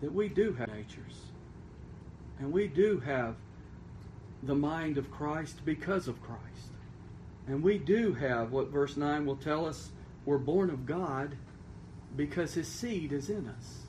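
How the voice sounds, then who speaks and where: Somewhat breathy speech with lively intonation moves at a fairly slow pace with long, frequent pauses, and audible room echo surrounds it. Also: man, fairly high pitch for a man. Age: 40s. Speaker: pastor. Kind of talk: sermon.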